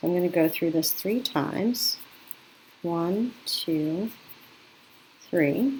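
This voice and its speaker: A woman's fairly low voice at a very slow pace, with long, frequent pauses, lively intonation and very even loudness. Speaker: craft teacher. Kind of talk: tutorial. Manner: casual, self-correcting.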